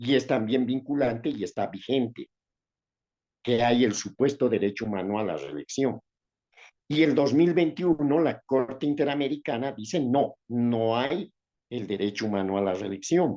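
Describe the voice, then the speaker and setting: A man talks at a medium pitch and moderate pace in a dark, mellow tone. His intonation is lively against a quiet background. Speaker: lawyer, professor and former senator. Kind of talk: interview. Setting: video call.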